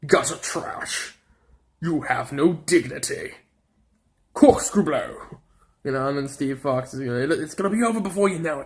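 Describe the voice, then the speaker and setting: The put-on character voice, with an English accent, sits at a middle pitch. It breaks into long, frequent pauses. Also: moderate pace. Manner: gruff, taunting.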